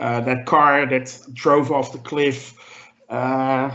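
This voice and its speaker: A man with a non-native accent and a medium pitch speaks at a very slow pace in a monotone, flat manner, with audible room echo around him. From Europe. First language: not English. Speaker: podcast panelist. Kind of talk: casual chat. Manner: halting, many fillers.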